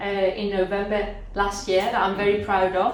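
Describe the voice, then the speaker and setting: With a Spanish accent and a fairly high pitch, a woman speaks at a moderate pace amid audible room echo and noticeable background noise. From Spain, Andalusia (Cádiz). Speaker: career mentor. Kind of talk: talk to a class of language learners.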